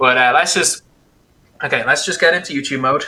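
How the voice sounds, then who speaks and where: Speaking at a fairly quick pace with an Irish accent, a man uses a fairly high pitch and ordinary pitch variation. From Ireland. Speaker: gaming YouTuber and streamer. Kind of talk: casual interview podcast. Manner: fast.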